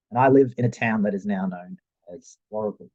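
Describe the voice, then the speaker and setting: Swinging very widely in pitch, a man with an Australian accent speaks at a fairly quick pace. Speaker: youth worker and adventure therapist. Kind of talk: presentation.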